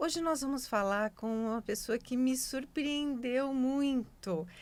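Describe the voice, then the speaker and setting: Here a woman talks at a high pitch and a very slow pace. The recording is very clean, with a silent background. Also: ordinary pitch variation. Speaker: talk show host. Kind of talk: interview host talk.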